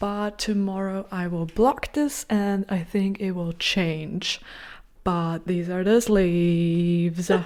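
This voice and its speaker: A woman speaks quietly at a very slow pace, her pitch in the medium range. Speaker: knitting vlogger. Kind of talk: casual vlog to camera. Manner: animated.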